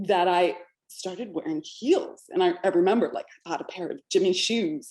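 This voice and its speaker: Her pitch swinging very widely, a woman with an American accent speaks at a moderate pace. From California. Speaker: podcast host, business coach for women. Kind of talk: interview podcast. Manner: animated.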